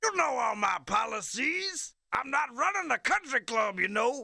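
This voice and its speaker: In a put-on character voice, the speaker uses a high pitch with very wide pitch swings at a moderate pace. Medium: video game. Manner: gruff, huckstering.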